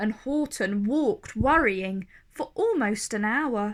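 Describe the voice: With a fairly bright tone and fairly high pitch, a woman speaks at a slow pace and with lively intonation.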